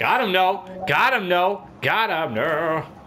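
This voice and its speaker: A man speaks in a raised, projected voice. His tone is animated. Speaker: gaming YouTuber. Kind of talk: angry rant during gameplay commentary. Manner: loud, profane, exasperated and animated; fast, jumpy, with bursts of laughter.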